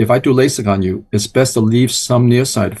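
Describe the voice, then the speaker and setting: A man with an American accent, somewhat breathy, at a medium pitch, with fairly even intonation and a moderate pace. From New York, Chinatown (born Hong Kong). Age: 70s. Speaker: eye doctor. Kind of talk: interview.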